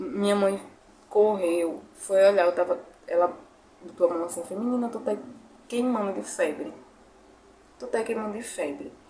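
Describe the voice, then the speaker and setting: Noticeable background noise sits behind a woman speaking at a medium pitch and moderate pace, with ordinary pitch variation. Her loudness swings widely, and she takes long, frequent pauses. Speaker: YouTuber. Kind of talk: testimony. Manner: emotional.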